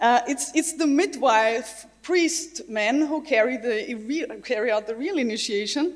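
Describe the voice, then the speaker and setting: A woman with a German accent talks at a fairly slow pace, her high pitch carried by lively intonation. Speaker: games researcher and designer. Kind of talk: conference talk.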